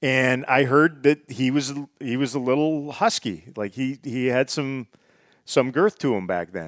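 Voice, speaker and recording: A man speaks with a western Canadian accent at a medium pitch. The sound is dry and close, without echo. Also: lively intonation, fairly slow pace. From northern British Columbia, Canada. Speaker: hockey television analyst. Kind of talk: casual chat.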